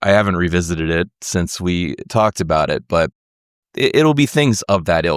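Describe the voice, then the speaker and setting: A man with an American accent has a plain, everyday voice, fairly low in pitch, with lively intonation. The recording is very clean with a silent background and a dry, close sound with no echo. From United States. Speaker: podcast host and musician. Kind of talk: interview conversation.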